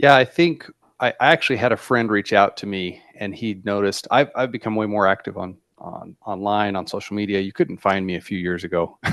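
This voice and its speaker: A man with an American accent talks at a fairly quick pace, with ordinary pitch variation and big swings in loudness. It is an ordinary speaking voice against a quiet background. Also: fairly low pitch for a man. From southeastern Arizona. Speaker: sales coach. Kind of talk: interview.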